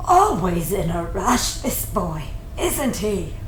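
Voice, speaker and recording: A woman's put-on character voice at a very slow pace, with slight echo. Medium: audio drama. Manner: wry, teasing.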